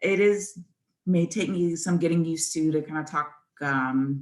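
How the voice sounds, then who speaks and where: A woman speaks with a fairly low pitch and lively intonation. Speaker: yoga teacher. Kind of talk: casual spoken newsletter.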